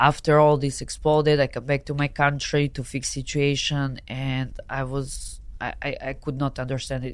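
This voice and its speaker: Recorded very cleanly with a silent background, a woman with a Serbian accent speaks at a moderate pace in a very deep, low pitch with fairly even intonation. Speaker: adult film performer. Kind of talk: casual interview chat. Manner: halting, limited English; laughs often.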